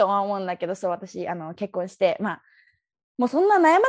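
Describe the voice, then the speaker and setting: Over a quiet background, a woman races along at a very fast pace with very wide pitch swings. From Tokyo, Japan. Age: 20s. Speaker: dancer. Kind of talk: interview. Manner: casual, laughing.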